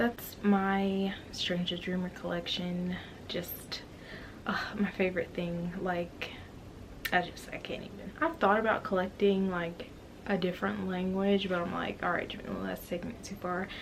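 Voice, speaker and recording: A woman at medium pitch with monotone, flat intonation, amid noticeable background noise and audible room echo. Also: moderate pace. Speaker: book vlogger. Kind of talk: casual vlog talk to camera.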